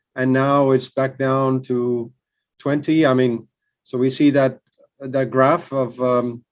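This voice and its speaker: A man speaks at a very slow pace with a medium pitch. His intonation is monotone and flat. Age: 60s. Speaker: business manager. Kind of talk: casual chat. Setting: video call. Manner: halting.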